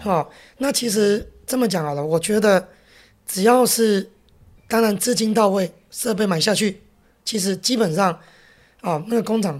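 A gruff woman talks with ordinary pitch variation and long, frequent pauses on a very clean recording with a silent background. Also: medium pitch for a woman, moderate pace. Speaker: restaurant chain executive. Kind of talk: interview. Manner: gruff, big-brother style.

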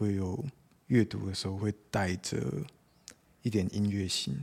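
This is a man speaking. His pitch sits fairly low. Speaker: poet. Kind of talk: casual interview.

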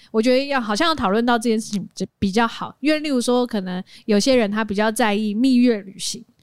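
Recorded dry and close with no echo, a woman talks in an ordinary speaking voice at a fairly high pitch. She uses ordinary pitch variation and hardly any pauses. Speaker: podcast co-host and live streamer. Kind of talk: casual chat.

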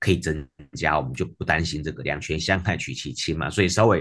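The man's voice carries vocal fry and ordinary pitch variation. He talks at a very fast pace. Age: 40s. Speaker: physical therapist and kidney patient. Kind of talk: interview conversation.

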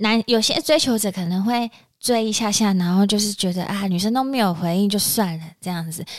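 A plain, everyday voice from a woman, ordinary pitch variation, and a fairly quick tempo. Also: medium pitch for a woman. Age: 30s. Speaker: podcast co-host. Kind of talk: casual chat.

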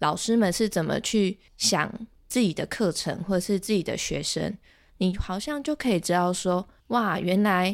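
A woman with a medium-pitched voice and ordinary pitch variation talks at a moderate speed. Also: very clean recording, silent background. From Taiwan, Chiayi. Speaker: ocarina teacher and graduate student. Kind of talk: interview conversation. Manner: hesitant, many filler sounds.

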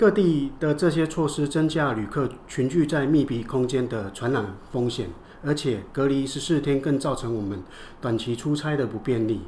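This man's voice sits fairly high. There is a somewhat breathy quality to it. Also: ordinary pitch variation, moderate pace. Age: 60s. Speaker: business owner. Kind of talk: scripted dialogue.

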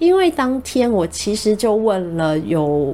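Very wide swings in pitch run through this woman's speech. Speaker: radio host. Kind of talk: casual monologue. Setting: studio.

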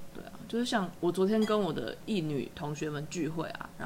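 Noticeable background noise surrounds speech that has ordinary pitch variation. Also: woman. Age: 30s. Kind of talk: casual chat.

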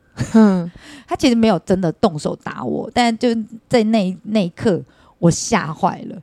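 In a dry, close recording with no echo, a woman with a medium-pitched, dark and mellow tone speaks at a fairly slow pace, with lively intonation and big swings in loudness. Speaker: hostess bar madam. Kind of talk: casual chat.

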